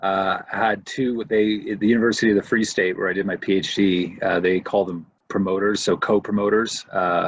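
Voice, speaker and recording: With a Canadian accent, a man speaks at a moderate pace and fairly low pitch, with monotone, flat intonation and hardly any pauses. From Canada, Windsor, Ontario. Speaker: professor of historical theology. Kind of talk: casual interview conversation.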